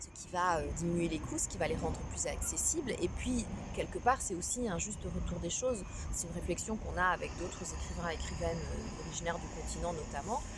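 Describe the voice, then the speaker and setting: Noticeable background noise accompanies this woman. Her voice also has audible room echo. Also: fairly quick pace. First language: Kinyarwanda (speaking French). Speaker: novelist. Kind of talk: interview. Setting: outdoors by the river. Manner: hesitant, many fillers.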